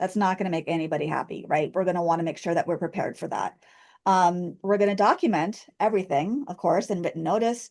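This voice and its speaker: Over a quiet background, a woman speaks at a very fast pace. Her pitch variation is ordinary. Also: medium pitch for a woman. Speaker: special education trainer. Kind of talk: online training lecture.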